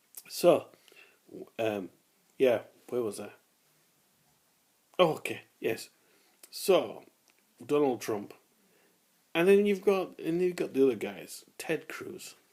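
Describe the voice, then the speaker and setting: With a British accent, a man speaks at a very slow pace, leaving long, frequent pauses. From Britain. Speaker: vlogger. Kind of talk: casual monologue. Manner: halting, repeats words.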